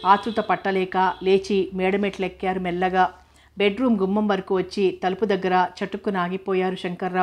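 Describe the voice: What comes through is plain reading aloud.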